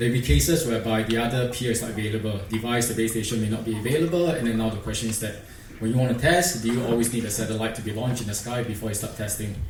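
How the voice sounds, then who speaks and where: With audible room echo and light background noise, a man with a Singaporean accent speaks very fast at medium pitch. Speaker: industry engineer presenter; presenter. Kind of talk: conference presentation. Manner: hesitant, many fillers. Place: hall. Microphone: podium.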